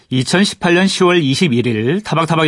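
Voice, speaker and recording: Here a man talks at a fairly slow pace. The background is quiet. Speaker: radio history show host. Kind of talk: radio interview and scripted narration.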